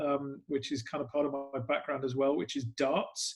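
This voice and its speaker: Speaking with an English accent, a man keeps a moderate pace. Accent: English accent noticeable. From England. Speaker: sports club PR executive. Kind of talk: podcast interview. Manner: hesitant, many fillers.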